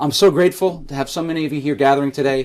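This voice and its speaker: A man talks in a New York accent. His pitch is fairly high. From New York City, Staten Island. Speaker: political candidate and history professor. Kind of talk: campaign speech. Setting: in-person gathering with audience. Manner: reading prepared remarks.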